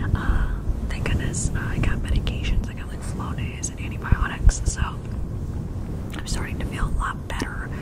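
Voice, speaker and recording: Here a woman is whispering. Noticeable noise sits in the background. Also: moderate pace, big swings in loudness. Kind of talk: casual talk to camera.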